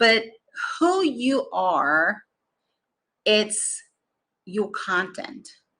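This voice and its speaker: A bright, sharp tone with very wide pitch swings, a very slow pace and long, frequent pauses. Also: woman, fairly high pitch for a woman. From Brazil. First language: Portuguese. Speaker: business coach. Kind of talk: motivational talk.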